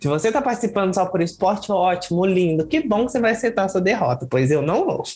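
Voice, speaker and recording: Very fast delivery with hardly any pauses amid noticeable background noise. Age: 20s. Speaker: drag queen, contest winner. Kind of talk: casual interview.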